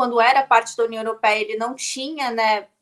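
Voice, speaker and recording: A woman's voice with ordinary pitch variation. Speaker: political commentator. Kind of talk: panel discussion. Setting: video call. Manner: halting.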